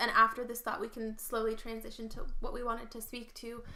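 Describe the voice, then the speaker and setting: Over noticeable background noise, a woman talks at a very fast pace with a fairly high pitch. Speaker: podcast co-host and youtuber. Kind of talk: casual chat. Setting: living room floor.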